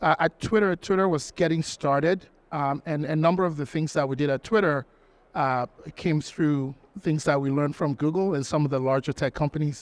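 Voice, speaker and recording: The speaker has a French accent and talks at a fairly quick pace with ordinary pitch variation. The sound is dry and close, with no echo. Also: man, fairly high pitch for a man. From Togo, West Africa. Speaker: talent acquisition executive. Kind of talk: conference panel interview.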